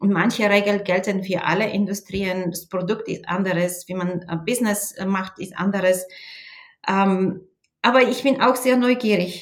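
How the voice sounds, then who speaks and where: Speaking very slowly with a Bulgarian accent, the woman keeps a medium pitch and ordinary pitch variation. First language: Bulgarian (speaking German). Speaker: sales manager. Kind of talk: interview. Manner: hesitant with fillers.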